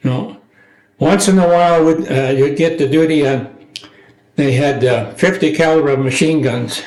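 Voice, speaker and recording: Ordinary pitch variation from a man, very slow in pace. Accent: Upper Midwest. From rural Minnesota, USA. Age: 80s+. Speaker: war veteran. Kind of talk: interview answer.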